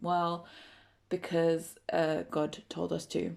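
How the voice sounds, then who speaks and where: A woman with an English accent and a fairly low pitch, in a very clean recording with a silent background. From England. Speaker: podcast host. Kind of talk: casual chat.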